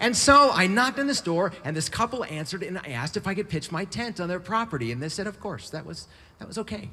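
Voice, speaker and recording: Talking at a very fast pace with an American accent, a man uses a high, raised and projected voice with a bright, sharp tone and very wide pitch swings. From US West Coast. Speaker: bicycle traveler and writer. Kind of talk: storytelling talk. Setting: stage with audience. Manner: animated.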